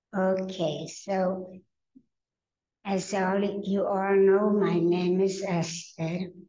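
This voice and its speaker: Medium in pitch with a dark, mellow tone, a woman's voice stays monotone and flat at a very slow pace. She takes long, frequent pauses amid audible room echo. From Carpathian Mountains, Czechoslovakia. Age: 90s. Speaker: Holocaust survivor speaker. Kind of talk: testimony.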